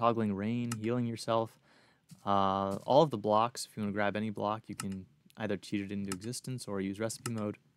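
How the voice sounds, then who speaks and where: Noticeable background noise under a man's fairly low-pitched voice, moderate in pace with ordinary pitch variation. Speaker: YouTube modding tutorial creator. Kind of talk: tutorial. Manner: stutters at times; casual with fillers.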